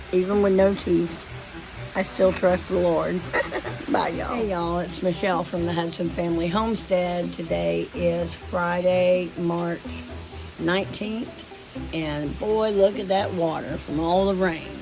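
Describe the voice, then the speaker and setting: A woman with a Southern US accent and a fairly low pitch speaks at a moderate pace with fairly even intonation, with audible room echo and music in the background. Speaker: homesteading vlogger. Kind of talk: casual vlog.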